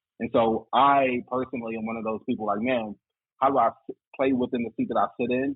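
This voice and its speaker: A man's plain, everyday voice, medium in pitch, at a fairly quick pace and with an American accent. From Greensboro, North Carolina. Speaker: diversity program manager. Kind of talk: casual chat.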